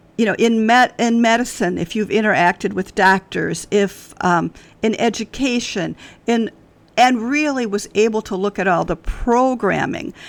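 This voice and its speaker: Speaking fairly slowly, a woman with an American accent has a normal speaking voice at a fairly high pitch. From US Midwest, Wisconsin. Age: 60s. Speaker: author. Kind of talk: podcast interview. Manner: conversational, with frequent fillers.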